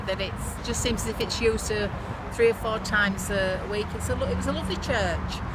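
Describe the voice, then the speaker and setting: A speaker with a West Yorkshire accent is heard amid noticeable background noise and audible room echo. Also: woman. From northern England, Bradford, West Yorkshire. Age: 60s. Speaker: businesswoman. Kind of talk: casual reminiscence to camera.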